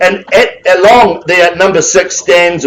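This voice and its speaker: A man speaks with a high pitch. He goes at a fairly slow pace. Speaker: auctioneer. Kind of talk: live auction calling. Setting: auction room with audience. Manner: loud.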